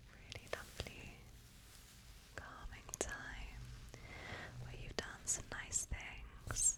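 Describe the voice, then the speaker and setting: Over noticeable background noise, a woman whispers very slowly in a British accent. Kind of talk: ASMR personal attention chat. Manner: soft-spoken.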